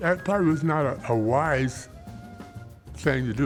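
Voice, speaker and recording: A man with an American accent speaks at a moderate pace, his pitch swinging very widely. Music plays in the background. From Dayton, Ohio. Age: 80s. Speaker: artist and arts educator. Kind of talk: interview answer.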